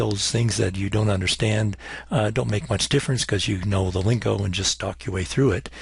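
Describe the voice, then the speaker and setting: This man's voice sits fairly low. Vocal fry runs through his speech. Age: 60s. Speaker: chemistry professor. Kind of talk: recorded lecture. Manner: hesitant, many fillers.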